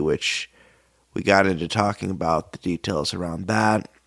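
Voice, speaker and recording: In a dry, close sound with no echo, a man speaks at a very deep, low pitch with ordinary pitch variation. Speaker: podcast host. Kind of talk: podcast intro. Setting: office studio.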